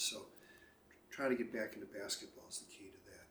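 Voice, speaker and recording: A man speaks with an American accent. There is audible echo in the room. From Chicago, US Midwest. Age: 60s. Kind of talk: casual interview. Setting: at home by the lake.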